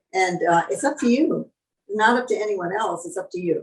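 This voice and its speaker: Her delivery is fairly quick and lively. The woman's medium-pitched voice sounds somewhat breathy. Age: 80s+. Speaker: long-term vegan, raw vegan author and guest. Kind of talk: interview answer. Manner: warm, reflective, conversational.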